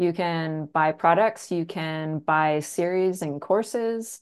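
The woman has an ordinary speaking voice with a Canadian accent. She speaks at a fairly slow pace against a quiet background. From rural Canada. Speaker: real estate agent and trainer. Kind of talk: casual interview.

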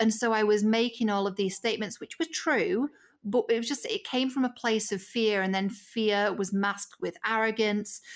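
Spoken with a British accent, the voice comes through in a very clean recording with a silent background. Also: woman, fairly high pitch for a woman, ordinary pitch variation, moderate pace. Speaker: media strategist. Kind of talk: casual chat.

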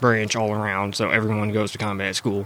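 A man speaks at a moderate pace in a medium pitch. Noticeable background noise sits behind him. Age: 20s. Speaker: former prisoner. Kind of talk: interview.

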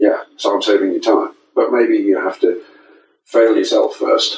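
At a moderate speed, a man talks with an English accent. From England. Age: 60s. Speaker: saxophonist and music educator. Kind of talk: interview. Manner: halting. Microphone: poor audio over unreliable internet.

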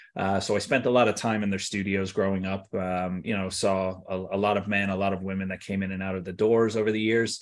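Talking at a very fast pace, a man uses a fairly low pitch in an American accent. His intonation is monotone and flat. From US South, Tampa, Florida. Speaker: hair loss products business owner. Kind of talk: interview. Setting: remote call from Ireland.

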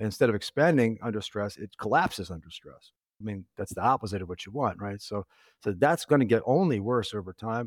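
On a very clean, dry, close recording with a silent background and no echo, a man with an unremarkable speaking voice talks at a fairly quick pace. His pitch is fairly low, his intonation lively, and his loudness swings widely. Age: 40s. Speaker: teacher and journalist, patient with heart condition. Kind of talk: casual chat.

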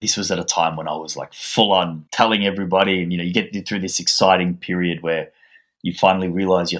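In a very clean recording with a silent background, a man with an Australian accent talks very fast in a very deep, low pitch with fairly even intonation. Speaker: author. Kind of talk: interview.

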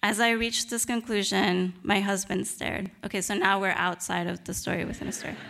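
Her tone bright and sharp, a woman speaks at medium pitch with fairly even intonation. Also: fairly quick pace. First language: Spanish. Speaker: novelist. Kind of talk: reading aloud; lecture.

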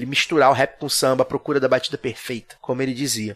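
A fairly high-pitched male voice at a very fast pace. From Rio de Janeiro, Zona Norte suburb. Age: 30s. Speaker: podcast host guest. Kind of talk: casual chat. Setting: studio.

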